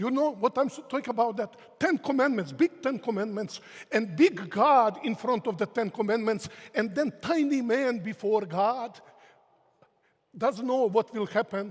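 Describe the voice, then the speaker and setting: A man talks at a moderate pace in an extremely high pitch. His intonation is lively. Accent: Croatian. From Croatia. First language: Croatian. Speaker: theology professor. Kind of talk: lecture.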